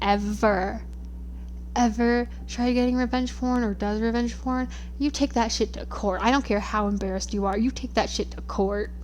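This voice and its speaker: A woman is speaking. There is audible room echo. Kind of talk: casual rambling monologue. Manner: halting, stuttering.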